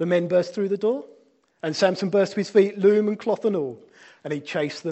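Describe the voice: Ordinary pitch variation in plain reading aloud, all over a quiet background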